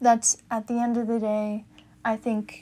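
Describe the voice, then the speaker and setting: Her intonation is monotone and flat, at a fairly high pitch. The woman speaks at a very slow pace. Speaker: podcast host. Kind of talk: solo podcast monologue, personal talk. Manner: casual, candid.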